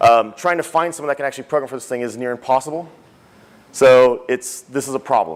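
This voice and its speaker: Speaking very fast, a man shows ordinary pitch variation. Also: medium pitch for a man. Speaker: conference speaker, technology executive. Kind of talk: conference talk.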